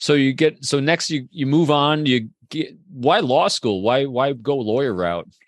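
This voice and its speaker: A man talks in an ordinary speaking voice, fairly high in pitch and with lively intonation. He goes at a fairly slow pace over a quiet background. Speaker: podcast host. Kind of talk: interview conversation.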